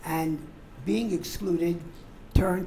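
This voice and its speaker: The speech goes at a very slow pace against noticeable background noise. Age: 80s+. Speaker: audience member. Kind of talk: audience question.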